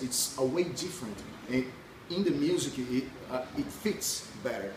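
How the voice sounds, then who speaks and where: Over noticeable background noise and audible room echo, a man with a Brazilian accent speaks at a medium pitch. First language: Portuguese. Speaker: punk rock musician. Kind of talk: interview. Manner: halting.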